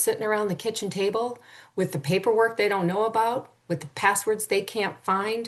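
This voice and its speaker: The woman talks at a moderate pace, the background quiet behind her. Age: 60s. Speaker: end-of-life planning coach. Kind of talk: interview. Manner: animated.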